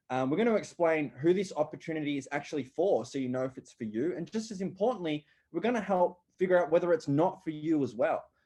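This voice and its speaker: Against a quiet background, a man with an Australian accent rattles along very fast with hardly any pauses, his fairly high voice dark and mellow in tone and lively in intonation. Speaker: online business coach. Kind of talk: webinar presentation.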